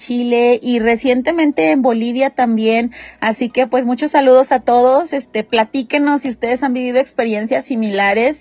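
Here a woman speaks with a Mexican accent. Her pitch is high, with ordinary variation. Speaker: podcast host. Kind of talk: casual chat.

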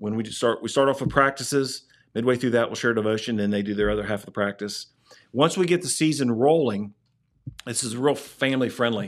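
A man's unremarkable speaking voice at medium pitch, with a fairly quick pace and ordinary pitch variation. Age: 50s. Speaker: youth sports program director. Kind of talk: casual chat.

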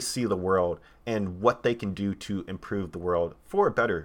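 With an American accent, this is a plain, everyday voice at a fairly slow pace with ordinary pitch variation. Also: man. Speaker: podcaster and AR developer. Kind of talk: solo podcast monologue. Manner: casual, many fillers.

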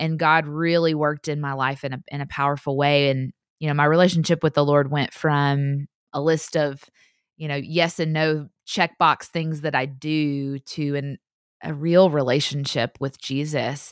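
A woman with a Southern US accent speaks in a very deep, low voice on a very clean recording with a silent background. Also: moderate pace. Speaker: podcaster, author and speaker. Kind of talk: casual interview chat. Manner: animated.

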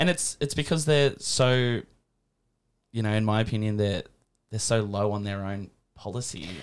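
In an Australian accent, a man speaks at a fairly low pitch and a moderate pace, with ordinary pitch variation and long, frequent pauses, on a very clean recording with a silent background. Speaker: podcast host. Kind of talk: casual interview. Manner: hesitant, filler-heavy.

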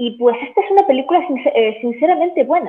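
This woman has a normal speaking voice and lively intonation. She talks at a moderate pace. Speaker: film analyst and YouTuber. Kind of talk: interview.

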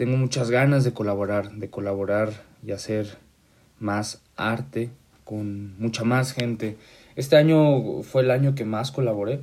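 A man at a medium pitch, ordinary pitch variation, and a fairly slow pace. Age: 20s. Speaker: podcast host. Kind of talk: casual monologue. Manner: halting.

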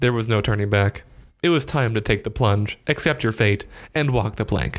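At a moderate pace and with ordinary pitch variation, a man speaks on a very clean recording with a silent background. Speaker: narrator. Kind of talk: dramatic narration of a written diary, second person, wry storytelling. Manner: animated, with comic timing and dramatic emphasis.

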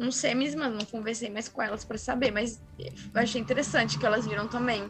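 A woman speaks at a fairly high pitch with vocal fry. Her tone is bright and sharp, her intonation fairly even. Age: 20s. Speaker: paranormal experience narrator. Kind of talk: testimony.

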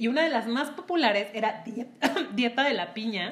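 Here a woman speaks. Her tone is animated. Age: 30s. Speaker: podcast co-host. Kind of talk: casual chat.

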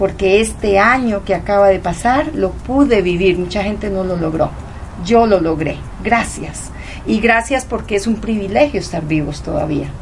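Noticeable background noise and audible room echo fill the recording. A woman delivers her words fairly slowly. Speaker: guest, leukemia survivor. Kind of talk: reflective conversation. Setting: home.

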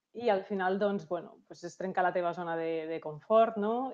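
A plain, everyday voice from a woman, medium in pitch, at a fairly slow pace with ordinary pitch variation. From Catalonia, Lleida. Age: 30s. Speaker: insurance advisor. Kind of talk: interview.

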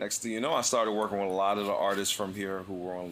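This man's voice is very deep and low-pitched, with an American accent. His intonation stays fairly even. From Philadelphia. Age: 40s. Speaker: drummer. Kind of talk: casual interview.

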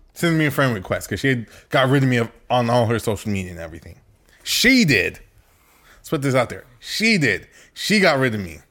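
His medium pitch swinging very widely, a man speaks in a bright, sharp tone with vocal fry. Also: fairly quick pace, very clean recording, silent background. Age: 20s. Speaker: podcast co-host. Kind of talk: casual chat.

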